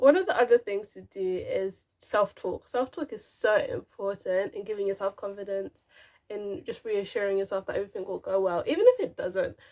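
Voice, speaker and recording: A woman's mumbling voice at a moderate pace, with big swings in loudness. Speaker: YouTuber and teacher. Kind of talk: casual tutorial to camera. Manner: stop-start, some mumbling.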